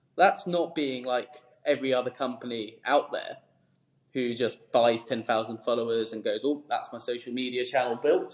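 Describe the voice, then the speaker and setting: Fairly even intonation at a moderate pace. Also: man, medium pitch for a man. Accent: southern English. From southern England, Surrey. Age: 20s. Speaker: startup founder. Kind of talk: interview. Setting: office.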